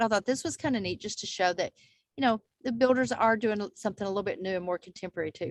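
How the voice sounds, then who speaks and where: Speaking at a very fast pace in a fairly high pitch, a woman with a Texas accent uses lively intonation, her sound dry and close with no echo against a quiet background. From Texas Panhandle. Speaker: real estate agent. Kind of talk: casual video chat. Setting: video call.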